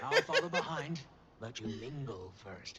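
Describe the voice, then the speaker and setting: In a put-on character voice, a man speaks at a moderate pace with a medium pitch. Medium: video game. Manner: dry, understated.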